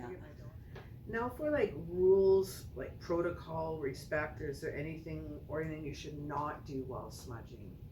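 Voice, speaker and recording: At a moderate pace, the voice swings a lot in loudness over noticeable background noise. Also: woman. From Alberta, Canada. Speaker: channel host, pagan crafter. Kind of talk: interview questions.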